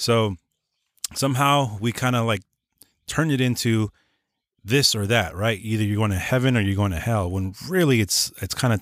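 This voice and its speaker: In a very clean recording with a silent background, a man talks at a fairly quick pace and a fairly low pitch. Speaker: podcaster. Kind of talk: casual chat about faith. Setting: studio.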